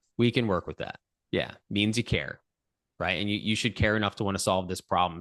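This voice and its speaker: A man talking at a very fast pace with ordinary pitch variation, a dry, close sound with no echo and a quiet background. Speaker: podcast host. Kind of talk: casual interview. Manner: loud.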